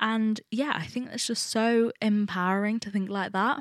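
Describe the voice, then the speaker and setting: A woman with an East Midlands accent and ordinary pitch variation, on a very clean recording with a silent background. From England, Nottingham. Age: 20s. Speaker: podcast host, university student. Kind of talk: solo casual monologue. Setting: recording at home alone.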